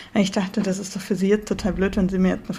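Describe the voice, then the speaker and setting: Monotone, flat intonation against noticeable background noise. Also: woman. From northern Germany. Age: 20s. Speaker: podcast co-host, student. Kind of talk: casual chat.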